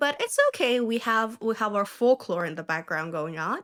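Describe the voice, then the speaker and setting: A woman with a non-native accent speaks at a fairly quick pace in a fairly high pitch. The sound is dry and close with no echo, though there is noticeable background noise. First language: not English. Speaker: songwriter music reactor. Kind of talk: casual reaction video.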